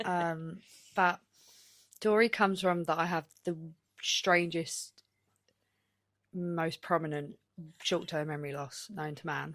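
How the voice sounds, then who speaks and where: A woman with a northern English accent speaks at a fairly slow pace in a fairly low voice with fairly even intonation. Her loudness swings widely and she takes long, frequent pauses, on a very clean recording with a silent background. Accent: northern English twang. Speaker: darts player and podcast co-host. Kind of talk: casual chat.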